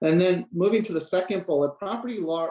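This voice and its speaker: A man does the talking. His pace is fairly quick. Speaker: researcher presenting a report. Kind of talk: online presentation. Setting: online video call. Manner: fast.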